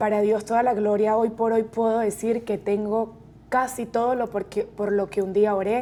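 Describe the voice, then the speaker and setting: With a Venezuelan accent, a woman speaks in a fairly high pitch and a monotone, flat intonation. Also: moderate pace. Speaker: real estate agent. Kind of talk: interview testimony.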